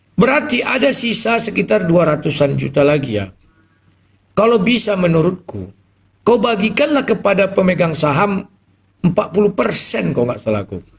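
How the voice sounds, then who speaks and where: Loud and high-pitched, a man speaks with lively intonation. He keeps a moderate pace. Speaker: live stream host taking callers. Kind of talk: live stream talk with callers. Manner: explosive, loud.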